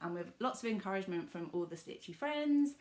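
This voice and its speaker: A woman speaks in a southern English accent. Her pitch sits in the medium range. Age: 20s. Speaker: cross-stitch vlogger. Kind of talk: casual vlog talk.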